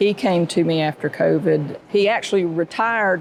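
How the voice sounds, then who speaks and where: A woman's fairly low-pitched voice against a quiet background. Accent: Southern US. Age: 60s. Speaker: florist and shop owner. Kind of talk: podcast interview, storytelling. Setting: live recording at an airport.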